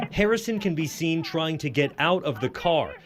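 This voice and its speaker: A man speaks at a fairly quick pace with lively intonation. Background noise is noticeable. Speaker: TV news reporter. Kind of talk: TV news report.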